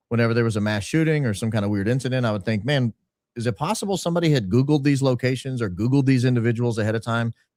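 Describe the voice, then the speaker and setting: Talking at a very fast pace with a slight Southern US accent, a man keeps a medium pitch with ordinary pitch variation on a very clean recording with a silent background. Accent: slight Southern twang. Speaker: podcaster and consultant. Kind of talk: interview storytelling.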